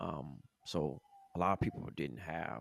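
A man's vocal fry, recorded dry and close with no echo. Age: 30s. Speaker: creative in advertising, former basketball player. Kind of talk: casual chat.

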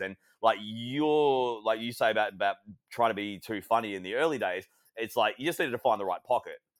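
A man with an Australian accent at a fairly quick pace, medium pitch and ordinary pitch variation. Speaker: wrestling and basketball commentator. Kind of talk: casual interview chat.

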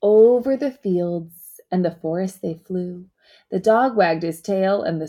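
The speaker has a natural reading voice against a quiet background.

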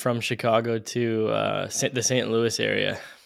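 A man at a medium pitch keeps a moderate pace while noticeable background noise plays underneath. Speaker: podcast host. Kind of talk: casual interview conversation. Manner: halting, self-conscious, jumbled.

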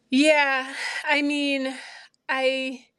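A woman speaks with a high-pitched voice. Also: quiet background. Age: 40s. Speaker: therapist. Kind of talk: casual chat.

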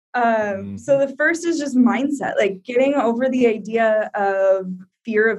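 A woman's normal speaking voice with an American accent, fairly high in pitch, at a fairly slow pace with ordinary pitch variation. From Iowa, US Midwest. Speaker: travel blogger and digital nomad. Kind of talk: interview.

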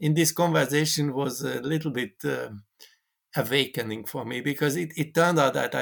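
Over a silent background in a very clean recording, a man with a Hungarian accent speaks at a moderate pace with a fairly high pitch, ordinary pitch variation and vocal fry. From Hungary. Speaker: mathematician. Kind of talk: interview conversation.

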